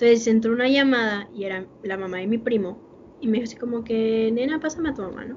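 The delivery is very fast, with big swings in loudness. Pitch varies in an ordinary way, in a Mexican accent. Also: woman, fairly high pitch for a woman. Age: 20s. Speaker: podcast co-host. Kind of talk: casual chat.

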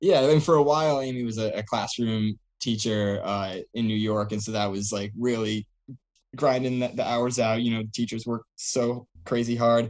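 A man with an American accent talks in a normal speaking voice at a medium pitch and a moderate pace, his intonation fairly even. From Rhode Island, US. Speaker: professional runner. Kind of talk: casual interview.

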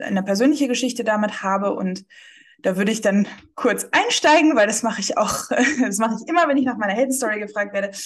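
A woman's medium-pitched, plain, everyday voice with ordinary pitch variation. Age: 20s. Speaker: marketing agency founder. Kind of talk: casual interview.

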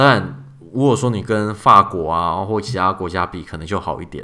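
A man's unremarkable speaking voice, fairly low in pitch, with lively intonation at a moderate pace. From Taiwan. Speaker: podcast host, software engineer. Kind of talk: casual chat.

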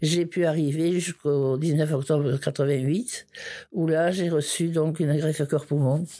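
Very slow and very even in loudness, a woman talks in a very deep, low voice with a dark, mellow tone. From southern France, Ariège. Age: 70s. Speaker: organ transplant recipient and torch bearer. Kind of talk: personal testimony. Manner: halting, with many repetitions.

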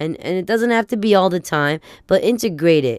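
In a dry, close recording with no echo, a woman talks with lively intonation and an animated tone. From Italian-American family. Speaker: podcast host. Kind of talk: casual solo monologue.

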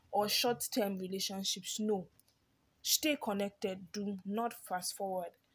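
Somewhat breathy and animated, a woman speaks at a fairly slow pace. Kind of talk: informal sermon.

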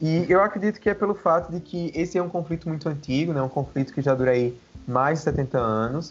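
With a normal speaking voice, a man talks at a fairly quick pace and fairly high pitch, his pitch varying in an ordinary way. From Brazil, Paraíba (Campina Grande). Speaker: political science researcher. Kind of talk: interview on religion and international politics.

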